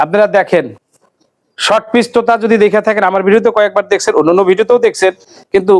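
Sounding dry and close with no echo, a man speaks at a high pitch, his loudness very even and his intonation fairly even. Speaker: livestock video blogger. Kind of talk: farm tour interview and sales showcase.

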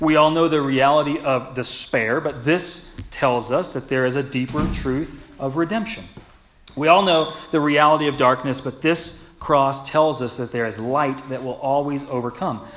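Ordinary pitch variation marks this man's speech, which moves at a moderate pace. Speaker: pastor. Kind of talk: sermon. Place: church.

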